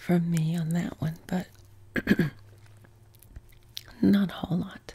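Soft-spoken and gentle in tone, a woman with a fairly low pitch talks at a very slow pace with fairly even intonation. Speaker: vlogger answering viewer questions. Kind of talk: casual Q and A chat. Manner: soft-spoken, gentle low-volume ASMR voice. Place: home room.

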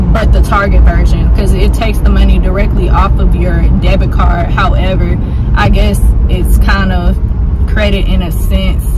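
A woman keeps a moderate pace despite loud noise in the background. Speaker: vlogger. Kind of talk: casual vlog chat. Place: car. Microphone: phone near.

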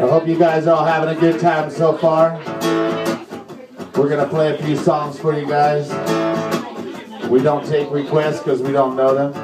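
With clear music in the background, a man talks at a moderate pace, leaving long, frequent pauses. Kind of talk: stage banter between songs. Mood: joking, playful. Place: bar.

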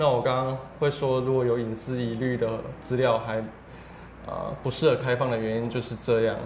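Over light background noise and audible room echo, a man speaks in a monotone, flat intonation with long, frequent pauses. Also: moderate pace. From Taiwan. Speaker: civil rights advocate; guest. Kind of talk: interview. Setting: office. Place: studio. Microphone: lapel.

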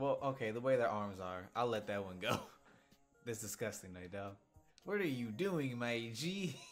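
A man talks at a moderate pace, with faint music behind him. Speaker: reaction video creator. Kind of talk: casual vlog chat. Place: home room.

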